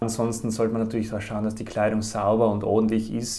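A fairly low-pitched male voice amid noticeable background noise. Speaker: career counsellor. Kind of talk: interview, advice.

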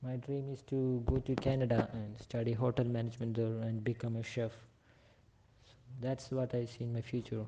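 At a moderate pace, a man talks with medium pitch and monotone, flat intonation, somewhat breathy, with big swings in loudness. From India, Kerala. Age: young. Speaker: interview guest. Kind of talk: casual interview. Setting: phone or online call.

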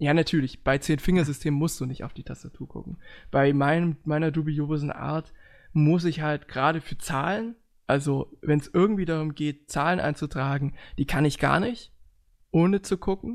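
In a very clean recording with a silent background, a man with a plain, everyday voice speaks at a moderate pace, fairly high in pitch with ordinary pitch variation. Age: 20s. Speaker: podcast host. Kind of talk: casual chat.

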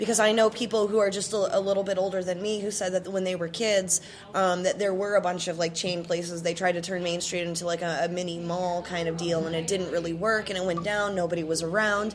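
Amid noticeable background noise, a woman with an American accent talks at a very fast pace in a monotone, flat intonation. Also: medium pitch for a woman, hardly any pauses. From Chicago area, US Midwest. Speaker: podcast host. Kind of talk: casual interview. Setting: local brewery.

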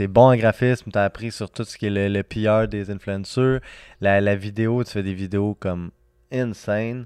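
A man speaks at a moderate pace in a fairly low, flat, monotone voice. The sound is dry and close with no echo, over a quiet background. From Serbia, raised in Quebec. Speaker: entrepreneur, nonprofit founder. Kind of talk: casual chat.

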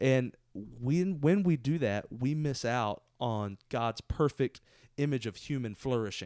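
Dry and close with no echo, a medium-pitched man speaks very slowly with lively intonation. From Southeast Texas. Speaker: pastor. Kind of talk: casual chat. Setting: office couch.

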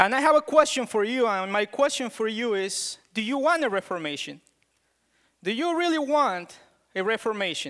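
With a strong non-native accent and very wide pitch swings, this moderate-paced speech sits on a very clean recording with a silent background. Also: man, extremely high pitch for a man. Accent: thick foreign. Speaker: preacher. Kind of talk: sermon. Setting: church.

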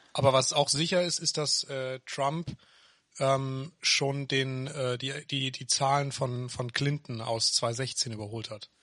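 At a very slow pace, a man talks in a medium pitch with fairly even intonation. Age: 20s. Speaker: podcast co-host. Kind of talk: casual chat. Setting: home office.

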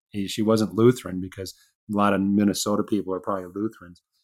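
Here a man speaks with a Midwestern US accent in a fairly low pitch. His intonation is monotone and flat. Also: very clean recording, silent background. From Chicago, US Midwest. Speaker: author and aerospace engineer. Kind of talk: casual interview chat.

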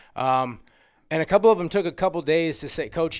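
Very fast speech from a man, with ordinary pitch variation, on a very clean recording with a silent background. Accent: American. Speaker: high school basketball coach. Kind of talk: casual interview.

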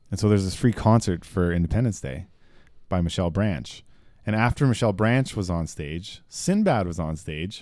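A man talks at a fairly quick pace with lively intonation. The recording is very clean, with a silent background. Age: 30s. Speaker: guitarist and air force member. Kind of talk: casual chat.

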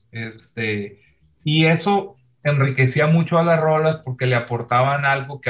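At a fairly slow pace, a man uses a normal speaking voice with ordinary pitch variation. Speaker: rock musician. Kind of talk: casual chat.

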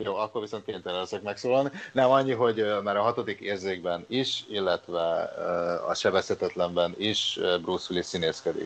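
This man has a fairly low pitch and ordinary pitch variation. He speaks at a moderate pace. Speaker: podcast host. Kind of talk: casual chat.

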